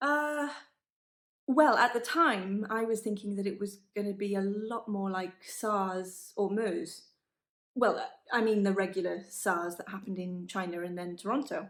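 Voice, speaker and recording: At a fairly slow pace, a woman with an unremarkable speaking voice talks at medium pitch with ordinary pitch variation. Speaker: professional actor performing a verbatim monologue. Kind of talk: verbatim monologue of a real interview about lockdown. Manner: articulate, fluent, opinionated.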